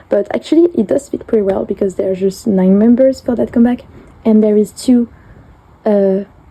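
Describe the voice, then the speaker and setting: A fairly high-pitched woman with a French accent and ordinary pitch variation. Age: 20s. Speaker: collector vlogger. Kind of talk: show-and-tell flip through. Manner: halting, many fillers.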